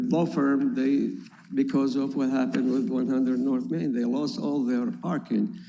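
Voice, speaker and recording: Audible room echo surrounds a man talking at a moderate tempo. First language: not English. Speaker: property owner applicant. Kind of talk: public hearing testimony. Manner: halting.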